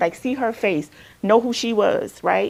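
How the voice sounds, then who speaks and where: A woman at a very fast pace. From Alabama, US South. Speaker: counselor. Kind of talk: workshop talk. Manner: loud.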